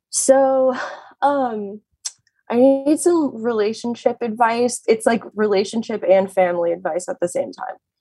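This is a normal speaking voice. It carries an American accent. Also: woman, fairly high pitch for a woman, ordinary pitch variation, fairly slow pace. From Arizona. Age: 30s. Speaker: caller seeking relationship advice. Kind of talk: casual chat.

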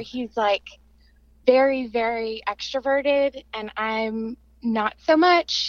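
On a dry, close recording with no echo, a woman speaks at a high pitch with fairly even intonation. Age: 20s. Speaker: caller seeking relationship advice. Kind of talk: casual chat.

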